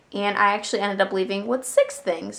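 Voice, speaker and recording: At a fairly quick pace, a woman with a medium pitch speaks with vocal fry. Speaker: vlogger. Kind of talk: casual vlog haul. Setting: handheld camera on knee. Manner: chatty, filler-heavy.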